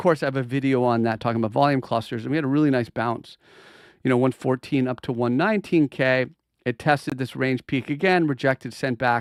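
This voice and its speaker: A man speaks very fast in a medium pitch with ordinary pitch variation. The recording is very clean with a silent background, and the sound is dry and close with no echo. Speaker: crypto market analyst. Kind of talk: live stream market analysis. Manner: animated.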